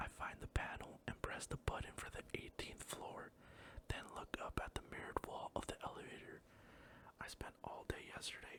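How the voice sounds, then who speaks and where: The speaker is whispering. The pace is moderate. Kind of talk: audiobook-style reading aloud of a romance novel.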